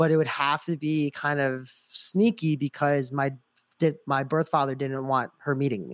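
This man has a plain, everyday voice, set at a fairly high pitch and delivered at a moderate pace. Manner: casual, filler-heavy.

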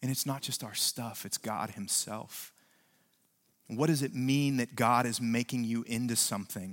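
The background is silent on this very clean recording. With an American accent, an ordinary speaking voice keeps a moderate pace and ordinary pitch variation. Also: man, medium pitch for a man. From West Virginia. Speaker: pastor. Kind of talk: sermon. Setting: church.

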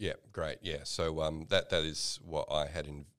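A man with an Australian accent speaks at a very slow pace. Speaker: podcast host. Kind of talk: casual conversational podcast discussion.

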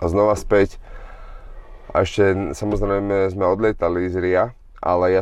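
At a fairly slow pace, a man with a fairly low pitch talks in a plain, everyday voice with fairly even intonation. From Slovakia. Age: 30s. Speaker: boxer. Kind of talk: casual chat.

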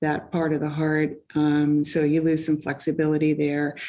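This woman's voice sits at a very deep, low pitch with a dark, mellow tone. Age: 60s. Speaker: amateur track cyclist and engineer. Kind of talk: interview.

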